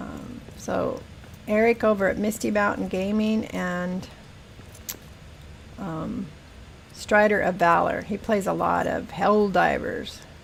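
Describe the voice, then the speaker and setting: Speaking very slowly with long, frequent pauses, a woman with an American accent is heard with audible room echo. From Northern California, Humboldt County. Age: 60s. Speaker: gaming streamer. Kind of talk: casual live-stream chat.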